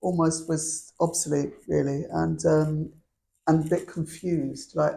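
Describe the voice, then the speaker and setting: Her voice is very deep and low for a woman, dark and mellow in tone, with vocal fry and a monotone, flat intonation. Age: 60s. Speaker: sculptor. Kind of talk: public talk conversation. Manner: halting.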